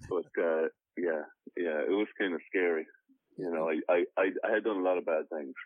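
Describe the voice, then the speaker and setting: With an Irish accent, a man talks at a moderate pace. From Ireland. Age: 30s. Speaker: actor and author. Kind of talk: interview. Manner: halting.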